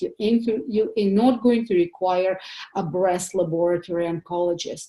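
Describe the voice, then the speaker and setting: A woman with a non-native accent is speaking. Her tone is dark and mellow, with ordinary pitch variation. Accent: foreign accent, noticeable. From Soviet Union. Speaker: pathologist doctor giving a health seminar. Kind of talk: seminar presentation. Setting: home office, online seminar. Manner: hesitant, many fillers.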